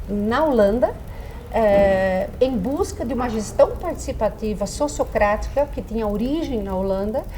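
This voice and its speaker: A woman speaks at a moderate pace in a fairly high pitch, with ordinary pitch variation, over noticeable background noise and audible room echo. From Brazil, Dutch family farm (Holambra region, São Paulo). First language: Dutch (speaking Portuguese). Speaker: psychologist. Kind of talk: interview.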